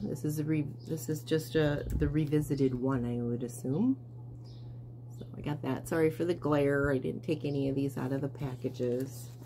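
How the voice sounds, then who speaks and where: A woman's very deep, low voice at a moderate pace, with audible room echo. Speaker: cross stitch and quilting vlogger. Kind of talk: casual show-and-tell vlog. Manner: hesitant, many fillers.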